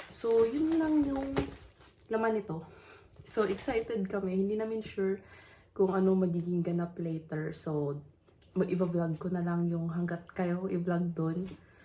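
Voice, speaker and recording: Somewhat breathy and dark, mellow in tone, a woman's voice moves at a fairly slow pace. Her pitch variation is ordinary. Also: medium pitch for a woman. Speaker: vlogger. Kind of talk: casual vlog talk. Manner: toned-down voice, early morning.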